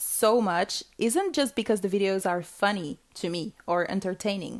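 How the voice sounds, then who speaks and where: In a very clean recording with a silent background, a woman speaks with a non-native accent. Her pace is moderate and her intonation lively. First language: not English. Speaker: podcast host. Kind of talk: solo podcast monologue. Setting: home recording alone with microphone.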